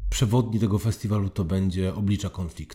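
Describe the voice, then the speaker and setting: A man's voice sounds somewhat breathy, with a dark, mellow tone. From southern Poland (Oświęcim). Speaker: foundation president and public speaking trainer. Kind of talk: interview.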